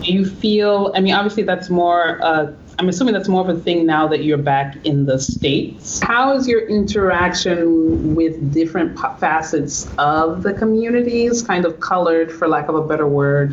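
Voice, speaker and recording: Amid noticeable background noise, a woman speaks with a fairly low pitch. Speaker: podcast co-host. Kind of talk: casual podcast conversation.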